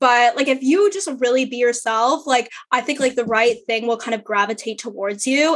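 A woman talks in a high voice. Her pitch variation is ordinary. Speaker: law student and podcast host. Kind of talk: casual chat. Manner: loud, over the top.

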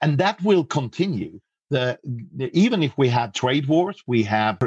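A man speaks with a Swedish accent at a medium pitch. The sound is dry and close with no echo, over a quiet background. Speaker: customs and trade expert. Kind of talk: interview. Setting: remote call.

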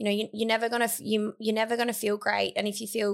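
A woman with an Australian accent. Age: 20s. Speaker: athlete, middle-distance runner and former pole vaulter. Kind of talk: casual interview chat. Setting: studio.

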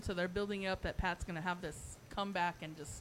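A woman with an ordinary speaking voice talks at a fairly quick pace, her pitch varying in an ordinary way. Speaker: wrestling fan. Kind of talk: casual chat. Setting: studio.

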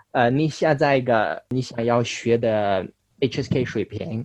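A man's medium-pitched voice, with ordinary pitch variation, comes across in a dry, close sound with no echo. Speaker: Chinese learner. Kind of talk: interview. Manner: halting.

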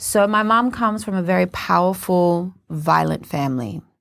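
A woman talks with an Australian accent. Her delivery is fairly slow. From Australia, Cairns (Queensland). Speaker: spoken word poet and performer. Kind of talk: interview. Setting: studio.

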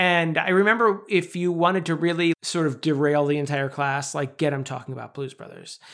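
On a very clean recording with a silent background, a man with a plain, everyday voice talks at a fairly quick pace and fairly high pitch, with ordinary pitch variation and hardly any pauses. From New York. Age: 40s. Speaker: podcast co-host. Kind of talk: casual chat.

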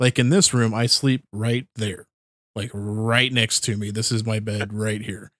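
Recorded very cleanly against total silence, with a dry, close sound and no echo, a man at a medium pitch talks in an animated tone at a fairly slow pace. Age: 30s. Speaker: podcast host. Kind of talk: casual chat. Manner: animated, laughs often.

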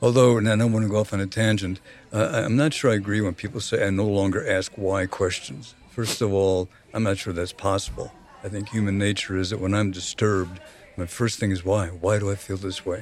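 Fairly even intonation marks a normal speaking voice that moves at a fairly quick pace. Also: man, fairly low pitch for a man. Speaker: recovering alcoholic and therapist. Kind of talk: casual chat.

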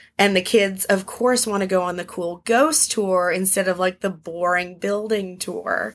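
A woman with an American accent speaks at a medium pitch with ordinary pitch variation and hardly any pauses, on a very clean recording with a silent background. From Arizona, US Southwest. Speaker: tour guide. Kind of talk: casual interview with storytelling. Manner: animated.

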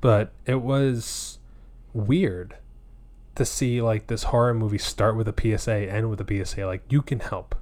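Recorded very cleanly against a silent background, a man talks at moderate pace in a medium pitch, somewhat breathy, with ordinary pitch variation. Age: 30s. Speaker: podcast host. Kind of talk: casual chat.

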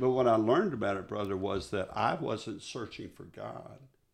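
A man speaks at a moderate pace with a Texan accent and a fairly low pitch. His voice has vocal fry and ordinary pitch variation.

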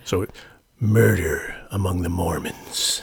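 A man puts on a raspy character voice with a fairly low pitch. He talks at a fairly slow pace. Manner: dramatic voice-actor voice.

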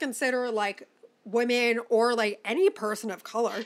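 Her voice is high and animated. The woman is heard on a very clean recording against a silent background. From Chicago, US Midwest. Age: 20s. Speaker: podcast host. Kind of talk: casual chat.

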